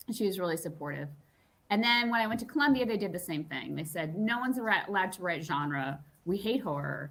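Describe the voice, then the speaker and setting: A woman's medium-pitched voice with an American accent, very fast in pace, full of very wide pitch swings. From US East Coast, Long Island. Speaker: novelist. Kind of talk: interview. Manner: casual, with many fillers.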